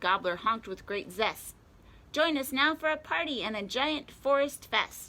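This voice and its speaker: A woman's put-on character voice, high-pitched and excited, at a moderate pace. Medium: read story. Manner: bustling, excited.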